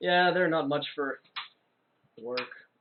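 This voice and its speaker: Using a put-on character voice, a man sounds gruff and rumbling at a fairly high pitch. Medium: actual play. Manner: gruff, grumbling.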